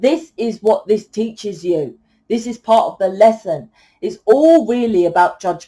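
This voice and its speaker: A loud woman speaks fairly slowly in a fairly high pitch with a dark, mellow tone. Her pitch swings very widely. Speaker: tarot reader. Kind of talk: tarot reading monologue. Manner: animated.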